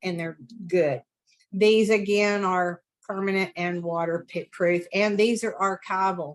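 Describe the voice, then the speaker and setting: A woman talks at a medium pitch. Her pace is fairly slow and her intonation fairly even. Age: 60s. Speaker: artist. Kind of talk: art demonstration over video call. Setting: video call. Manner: talkative, chatty.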